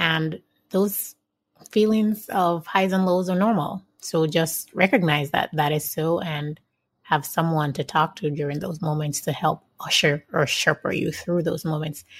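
Fairly low in pitch and somewhat breathy, a woman speaks at a fairly slow pace with fairly even intonation on a very clean recording with a silent background. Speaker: podcast host. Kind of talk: interview.

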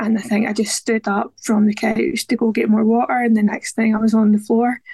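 A woman speaks at a fairly high pitch with little pitch movement, her slightly mellow tone carrying a slightly husky edge. The sound is dry and close, with no echo.

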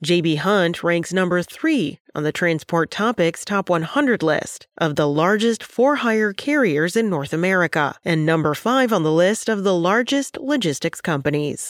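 In an unremarkable speaking voice, a woman talks at a moderate pace with fairly low pitch and lively intonation. Her loudness stays very even, and the sound is dry and close with no echo. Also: hardly any pauses. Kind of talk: news reading, scripted daily briefing. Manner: formal, steady, businesslike; brisk, even-paced, rattles off figures.

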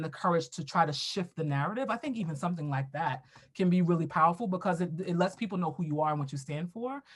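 A woman speaks with an American accent at a fairly low pitch. Her voice is somewhat breathy. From US, Brooklyn, New York. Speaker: diversity and equity educator, consultant. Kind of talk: casual interview.

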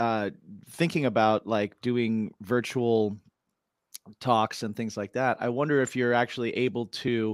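With a dry, close sound and no echo, a man with an unremarkable speaking voice talks at a fairly slow pace and a medium pitch. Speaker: podcast co-host. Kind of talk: casual podcast interview.

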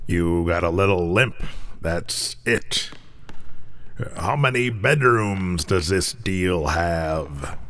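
A man's put-on character voice, very deep and low, at a very slow pace with long, frequent pauses and noticeable background noise. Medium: audio drama. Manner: gruff, blunt.

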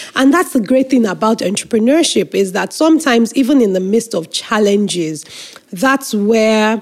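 Speaking at a fairly slow pace in a Nigerian accent, a woman with a fairly high pitch uses lively intonation. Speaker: nonprofit executive director. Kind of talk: interview.

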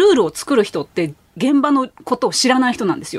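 A woman speaks in a high voice. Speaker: freelance writer and former truck driver. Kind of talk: radio interview. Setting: studio.

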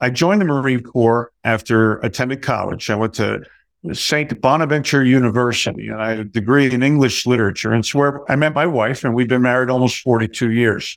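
Medium-pitched male speech at a fairly quick pace with ordinary pitch variation, on a very clean recording with a silent background. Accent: New Jersey. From US Northeast, New Jersey (Middlesex County). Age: 60s. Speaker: Marine Corps veteran, retired. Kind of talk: interview.

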